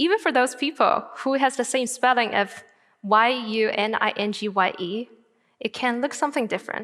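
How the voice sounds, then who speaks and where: High pitch from a woman, with ordinary pitch variation. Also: moderate pace. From northern China, Tianjin. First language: Chinese. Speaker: graduate student speaker. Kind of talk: TED-style talk.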